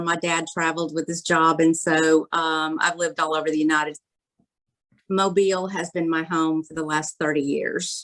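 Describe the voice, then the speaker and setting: At a moderate pace, a woman with a Southern US accent speaks at a fairly low pitch. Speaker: shower door industry participant. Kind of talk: casual chat.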